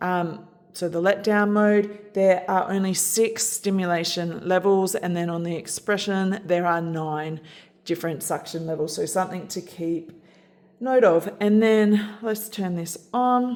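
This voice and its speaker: Fairly even intonation and a fairly slow pace mark this speech in an Australian accent. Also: woman, medium pitch for a woman. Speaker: product reviewer. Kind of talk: tutorial.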